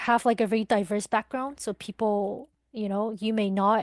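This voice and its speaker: In a Mandarin accent, a woman speaks at a moderate pace with fairly high pitch and fairly even intonation, recorded in dry, close sound with no echo against a quiet background. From Taiwan. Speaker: podcast guest. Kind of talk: interview. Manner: hesitant, many fillers.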